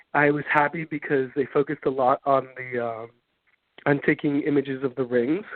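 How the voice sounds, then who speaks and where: With an American accent, a man speaks at a fairly high pitch and moderate pace with fairly even intonation. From Miami, Florida. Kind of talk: interview. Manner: halting.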